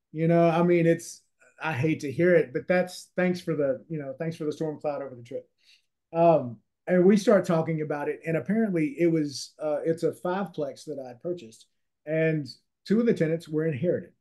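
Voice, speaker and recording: In a Louisiana accent, a man speaks at a moderate pace with a dark, mellow tone and a high pitch that varies in an ordinary way. The background is quiet. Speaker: real estate investor and author. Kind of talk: interview.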